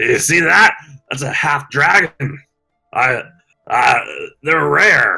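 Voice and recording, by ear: Over faint background music, a man uses a raspy, put-on character voice at a fairly high pitch and a very slow pace.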